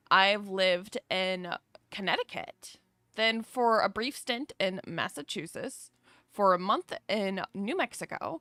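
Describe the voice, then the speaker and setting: A woman speaks at a very slow pace with a slight Southern US accent, her medium-pitched voice bright and sharp in tone. Her pitch varies in an ordinary way, and the recording is very clean with a silent background. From US South, North Carolina. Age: 30s. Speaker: streamer. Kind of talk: casual chat. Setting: livestream. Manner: animated.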